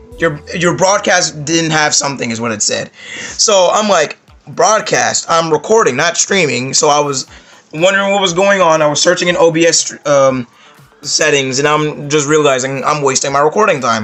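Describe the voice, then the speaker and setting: Noticeable background noise sits under a man who talks at a moderate pace with a fairly high pitch and ordinary pitch variation. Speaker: gaming YouTuber. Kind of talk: casual vlog monologue.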